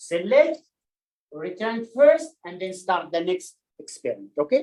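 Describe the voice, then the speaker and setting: The speaker talks at a fairly slow pace. The voice carries an Arabic accent. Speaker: statistics instructor. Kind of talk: lecture. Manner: halting.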